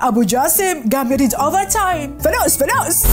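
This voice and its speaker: A woman with an Iraqi accent, very wide pitch swings, and music in the background. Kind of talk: satirical commentary voiceover. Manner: humorous, lively.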